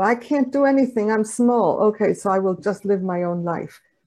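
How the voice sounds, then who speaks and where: Over a quiet background, a woman with a dark, mellow tone talks at a moderate pace with ordinary pitch variation. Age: 60s. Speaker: nonviolent communication trainer. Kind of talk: interview.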